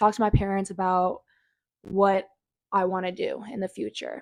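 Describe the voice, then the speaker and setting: In a dry, close sound with no echo, a woman with an American accent speaks at a medium pitch and a moderate pace. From Iowa, US Midwest. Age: 20s. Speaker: college volleyball player. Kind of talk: casual vlog talk.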